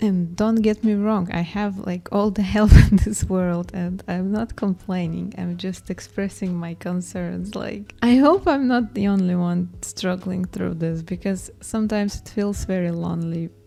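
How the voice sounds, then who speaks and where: In a non-native accent, the speaker goes at a fairly slow pace with hardly any pauses and fairly even intonation, over noticeable background noise. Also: woman, medium pitch for a woman. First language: not English. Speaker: artist and video creator. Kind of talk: casual vlog voiceover. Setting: home studio room, alone. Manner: hesitant, with pauses edited out.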